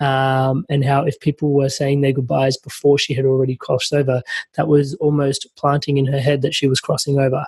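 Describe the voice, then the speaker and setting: A man speaks at a fairly quick pace in a fairly high, somewhat breathy voice with monotone, flat intonation. The sound is dry and close, with no echo. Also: very even loudness. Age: young. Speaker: podcast host. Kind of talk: podcast interview.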